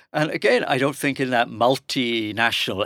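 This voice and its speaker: Recorded very cleanly with a silent background and a dry, close sound with no echo, a man with an English accent speaks at medium pitch and a moderate pace in a bright, sharp tone. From England. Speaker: professor. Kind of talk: panel discussion.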